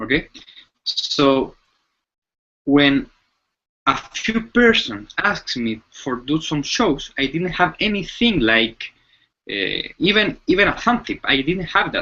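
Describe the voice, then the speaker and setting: With a bright, sharp tone and a high pitch, a man speaks at a very slow pace, his pitch swinging very widely between long, frequent pauses. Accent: Chilean. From Chile. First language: Spanish. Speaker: mentalist. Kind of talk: interview. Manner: halting.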